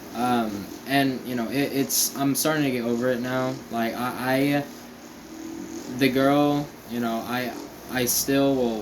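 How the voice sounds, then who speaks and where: Amid noticeable background noise and audible room echo, a man speaks at a very slow pace with monotone, flat intonation. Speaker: vlogger. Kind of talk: casual vlog monologue. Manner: halting, many fillers.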